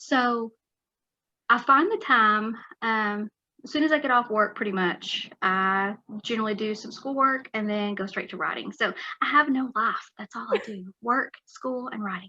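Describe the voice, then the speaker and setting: In a Texan accent, a woman with a fairly high pitch and ordinary pitch variation talks at a moderate pace, her bright, sharp tone showing big swings in loudness. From West Texas. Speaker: author. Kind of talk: interview.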